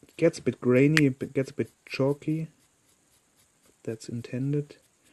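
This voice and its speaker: A man with a non-native accent speaks at a fairly slow pace and a fairly high pitch. His intonation stays fairly even, while his loudness swings widely. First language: not English. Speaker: miniature painter. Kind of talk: tutorial. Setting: live stream.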